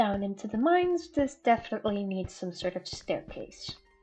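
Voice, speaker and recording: Music plays in the background as a woman talks at a fairly high pitch with very wide pitch swings. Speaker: gaming YouTuber. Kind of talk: casual gameplay commentary.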